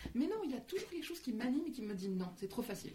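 Somewhat breathy and dark, mellow in tone, a woman's voice carries audible room echo. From Lebanon. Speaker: author and coach. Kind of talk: casual interview.

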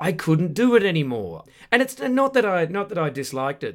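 Speaking with an Australian accent, a man uses a fairly high pitch that swings very widely. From Western Australia, Perth suburbs. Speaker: comedian. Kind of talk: casual chat. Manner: animated.

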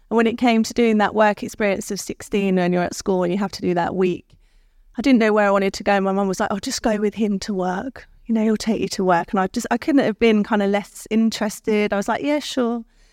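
A woman at a medium pitch with a London accent, very fast pace and fairly even intonation, dry and close with no echo. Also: very clean recording, silent background. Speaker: creative director. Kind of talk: interview at live event.

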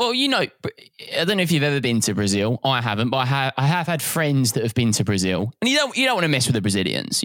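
A man speaks fast at a medium pitch. His fairly bright tone moves through very wide pitch swings.

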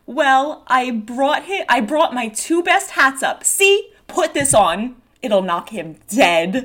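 Putting on a character voice, a woman speaks slowly and high, with big pitch swings and a fairly bright tone.

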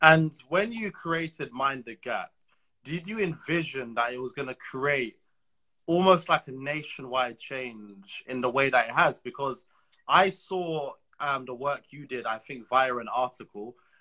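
Speaking at a fairly slow pace, a man with a fairly high, bright and sharp voice shows ordinary pitch variation and big swings in loudness. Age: young. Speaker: podcast host. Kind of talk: casual chat. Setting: video call.

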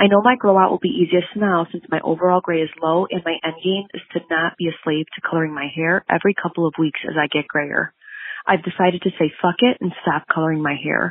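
A woman with a plain, everyday voice speaks at a fairly quick pace, her fairly low pitch held in fairly even intonation. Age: 30s. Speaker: podcast listener leaving a voicemail. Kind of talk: recorded voicemail.

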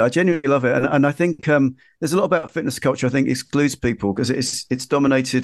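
A man with a London accent at medium pitch, talking very fast, dry and close with no echo, in a quiet background. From East London (Ilford). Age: 50s. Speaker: magazine editor and journalist. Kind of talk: casual chat. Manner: halting.

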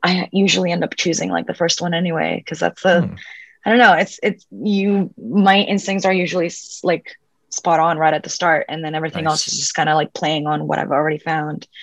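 A woman with a fairly low pitch and vocal fry, at a fairly quick pace with ordinary pitch variation, in a dry, close sound with no echo and a quiet background. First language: Spanish. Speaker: actress. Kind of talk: casual interview chat. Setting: video call.

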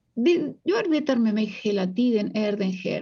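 Her pitch swings very widely from high to low. The woman's tone is dark and mellow. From Uruguay. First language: Spanish (speaking Swedish). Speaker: psychologist and author. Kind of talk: interview.

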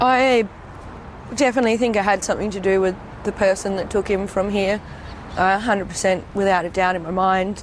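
Against noticeable background noise, a woman with an Australian accent speaks at a moderate pace and medium pitch, her intonation fairly even and her pauses long and frequent. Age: 20s. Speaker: daughter of a missing gang leader. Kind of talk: interview testimony.

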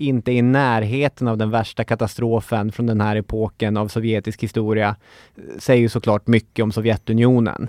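Over a quiet background and with a dry, close sound with no echo, a man with an unremarkable speaking voice talks at a moderate pace in a medium pitch with fairly even intonation. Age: 30s. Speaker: history podcast host. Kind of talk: scripted narration.

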